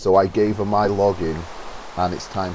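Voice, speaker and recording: A man's voice with a dark, mellow tone and an English accent. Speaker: gamer. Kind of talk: gameplay commentary. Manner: halting, pauses mid-sentence; casual.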